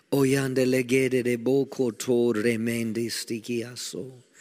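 In an American accent, a man speaks very slowly with an intense tone and a dark, mellow quality. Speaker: pastor. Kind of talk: fervent corporate prayer in tongues and declarations. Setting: church prayer meeting with congregation. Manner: intense, declarative, rising exclamations of praise.

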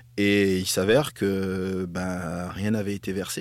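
The recording is very clean, with total silence behind it. Speaking in it is a man whose pitch sits very deep and low. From northern France. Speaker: former footballer and TV pundit. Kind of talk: casual interview.

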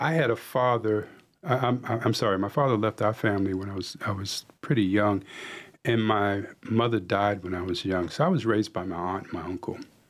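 A man with an American accent and an ordinary speaking voice talks at a fairly quick pace. His pitch sits fairly low and varies in an ordinary way. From US Northeast, New York City. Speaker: executive coach. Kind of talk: radio interview. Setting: radio studio.

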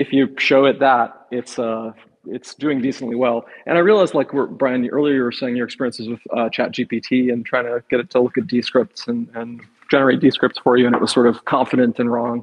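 A man talks at a fairly quick pace with fairly even intonation. He has an unremarkable speaking voice. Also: medium pitch for a man. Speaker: software engineer. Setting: live show on stage with audio.

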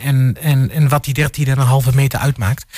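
Somewhat breathy, a man speaks in a fairly high voice with monotone, flat intonation. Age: 30s. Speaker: panel guest. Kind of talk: radio panel discussion. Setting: studio.

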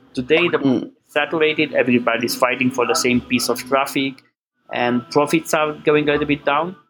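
Over music in the background, a man with a Romanian accent speaks in a fairly high voice at a fairly quick pace with fairly even intonation. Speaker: business owner. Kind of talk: interview.

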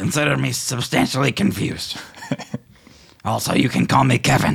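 A man uses a put-on character voice in a medium pitch. It sounds raspy and moves at a moderate pace. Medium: actual play. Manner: earnest, slightly formal.

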